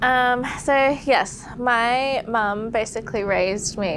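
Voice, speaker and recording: A woman speaks with an Australian accent. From Australia, Sydney. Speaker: podcast guest sharing conversion story. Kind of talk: testimony. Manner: casual, conversational with filler words.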